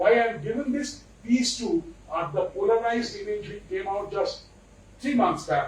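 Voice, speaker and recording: With lively intonation and an extremely high pitch, a man talks at a moderate pace amid audible room echo and noticeable background noise. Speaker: invited speaker on space science. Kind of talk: lecture. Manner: animated.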